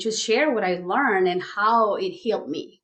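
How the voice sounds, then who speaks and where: In a Spanish accent, a woman speaks with ordinary pitch variation. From Mexico. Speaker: life coach. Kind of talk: podcast interview.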